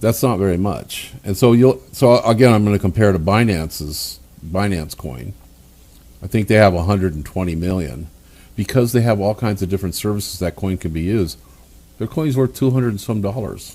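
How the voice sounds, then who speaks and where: A man talks at a fairly low pitch and a fairly quick pace. His tone is dark and mellow, with lively intonation. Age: 70s. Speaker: company founder and CEO. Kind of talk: promotional business talk. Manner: casual, halting with repetitions.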